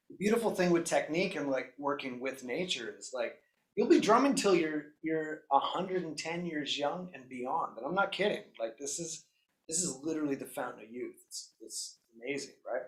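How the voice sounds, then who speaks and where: Man with a Canadian accent, high pitch, lively intonation, big swings in loudness, moderate pace. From Canada. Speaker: drum teacher. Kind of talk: online drum lesson, livestream. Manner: animated, enthusiastic; casual with frequent fillers and repeats.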